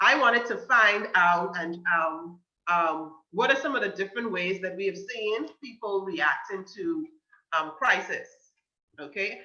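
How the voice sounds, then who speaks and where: A woman's medium-pitched voice with a Bahamian accent, lively intonation and a fairly slow pace. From Bahamas, Grand Bahama. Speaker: guest speaker on mental health. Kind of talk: talk to a youth group. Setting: video call.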